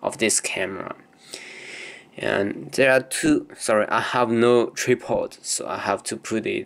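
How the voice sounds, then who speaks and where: At a fairly slow pace, a man talks in a non-native accent. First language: not English. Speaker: camera hobbyist demonstrating lens teardown. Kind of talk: informal tutorial. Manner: halting, hesitant; apologetic.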